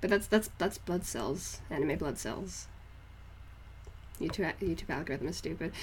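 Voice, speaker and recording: With an American accent, a woman speaks with very wide pitch swings and vocal fry. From northeast England, near Scottish border. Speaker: art streamer. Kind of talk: casual live stream chat. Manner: halting, many restarts.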